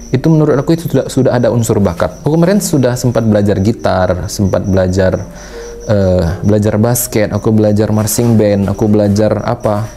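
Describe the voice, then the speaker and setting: Music plays in the background as a man talks at a fairly quick pace with very even loudness. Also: fairly low pitch for a man, ordinary pitch variation. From Sumatra, Indonesia. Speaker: painter and vlogger. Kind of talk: casual talk to camera, advice. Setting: painting studio. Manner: casual, conversational.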